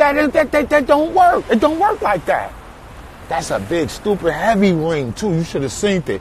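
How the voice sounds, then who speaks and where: Over noticeable background noise, a man talks in an animated tone with very wide pitch swings. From New York, Brooklyn. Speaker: artist. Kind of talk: casual live stream chat. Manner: animated storytelling.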